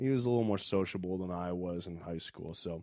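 Against a quiet background, a man with an American accent speaks in a dark, mellow tone with ordinary pitch variation. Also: dry, close sound with no echo. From US South, Richmond, Virginia. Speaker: stand-up comedian. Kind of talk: casual chat.

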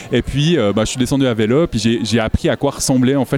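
Noticeable background noise sits behind a man. His intonation is fairly even. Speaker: naturalist and illustrator. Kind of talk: casual interview. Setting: festival with crowd noise.

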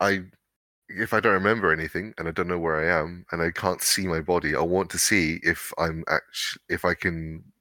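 On a very clean recording with a silent background, a man with a very deep, low pitch and a bright, sharp tone speaks at a moderate pace. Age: 30s. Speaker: chiropractor and tabletop role-play player. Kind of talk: role-play game session. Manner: halting, many fillers and repeats.

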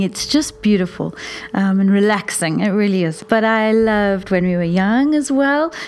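Noticeable noise sits behind words delivered at a moderate speed. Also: woman. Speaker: teacher. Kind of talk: casual chat.

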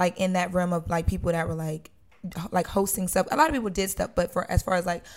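Talking at a very fast pace with an American accent, a woman holds a medium pitch and fairly even intonation. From Wilmington, Delaware, US. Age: 20s. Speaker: television host and vlogger. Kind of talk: casual interview chat.

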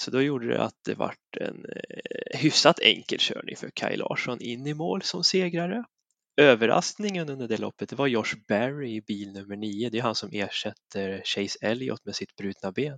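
An ordinary speaking voice with lively intonation moves at a moderate pace. The background is quiet, and the sound is dry and close, with no echo. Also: man, medium pitch for a man. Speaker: motorsport podcast panelist. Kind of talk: casual chat. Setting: recording from his kitchen.

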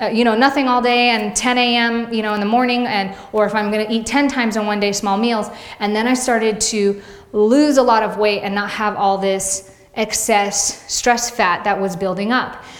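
Noticeable background noise is present. The speaker's intonation stays fairly even. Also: woman, fairly high pitch for a woman. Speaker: fitness vlogger and personal trainer. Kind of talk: casual vlog monologue to audience. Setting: video blog. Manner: fast talker; warm, chatty.

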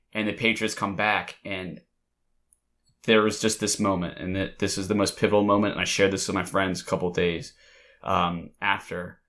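A man with a Mid-Atlantic American accent talks at a moderate pace in a bright, sharp tone. His intonation stays fairly even over a quiet background. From Delaware. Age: 20s. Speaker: podcast host. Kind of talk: casual chat.

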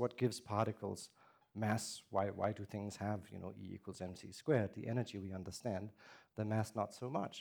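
Danish-accented man at a moderate pace, fairly low in pitch, on a very clean recording with a silent background. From Denmark. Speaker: theoretical physicist. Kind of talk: public lecture.

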